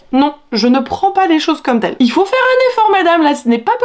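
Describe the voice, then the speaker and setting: Lively intonation and an enthusiastic tone run through this very fast delivery. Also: woman. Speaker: book vlogger. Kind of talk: casual vlog monologue, sponsored book review. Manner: chatty, enthusiastic. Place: home room. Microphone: phone near.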